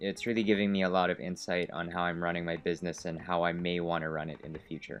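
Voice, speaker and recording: A man's very deep, low pitch at a very fast pace with fairly even intonation, amid noticeable background noise. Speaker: vlogger. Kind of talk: video diary.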